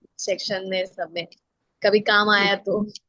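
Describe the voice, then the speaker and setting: The sound has no echo and is dry and close. Its tone comes across bright and sharp. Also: woman. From West Bengal, India. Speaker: yoga teacher. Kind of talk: self-introduction in webinar.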